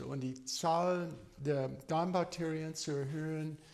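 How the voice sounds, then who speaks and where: The man's voice is high in pitch. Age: 60s. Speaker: medical doctor. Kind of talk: informal health talk. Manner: halting, many fillers.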